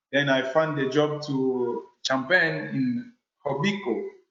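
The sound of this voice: A man speaks slowly in a Congolese accent, his fairly bright tone and fairly even intonation set against audible room echo. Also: medium pitch for a man. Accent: French-speaking Congolese.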